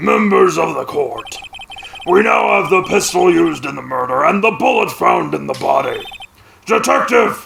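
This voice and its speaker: A man puts on a raspy character voice, pitched high and delivered at a moderate pace. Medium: game stream. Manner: haughty, commanding.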